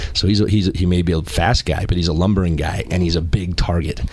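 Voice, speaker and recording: With ordinary pitch variation, a man speaks fairly quickly as noticeable background noise carries on behind him. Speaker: former college football player, analyst. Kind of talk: casual sports talk.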